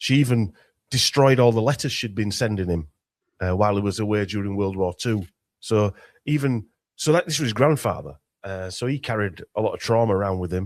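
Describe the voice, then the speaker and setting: A man talks at a fairly quick pace with a Yorkshire accent. His pitch is fairly low, with ordinary variation. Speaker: conspiracy researcher. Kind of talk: casual interview chat. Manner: halting, many restarts.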